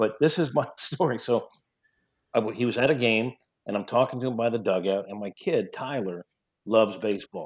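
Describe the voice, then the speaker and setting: Against a quiet background, a man speaks at a fairly quick pace with a slight New York accent. His pitch varies in an ordinary way. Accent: slight New York twang. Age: 50s. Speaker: sports sideline reporter. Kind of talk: casual interview chat.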